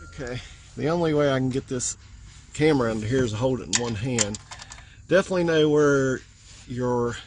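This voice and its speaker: A man's medium-pitched voice at a fairly quick pace, with ordinary pitch variation, long, frequent pauses and noticeable background noise. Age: 50s. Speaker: DIY car maintenance youtuber. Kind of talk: tutorial. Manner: casual, hesitant with fillers.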